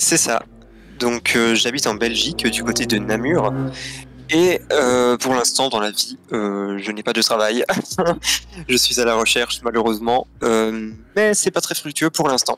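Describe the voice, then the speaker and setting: Music plays in the background as a man at medium pitch talks at a fairly slow pace with ordinary pitch variation and long, frequent pauses. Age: 20s. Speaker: guest telling coming-out story. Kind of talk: personal testimony in interview. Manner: hesitant, many fillers.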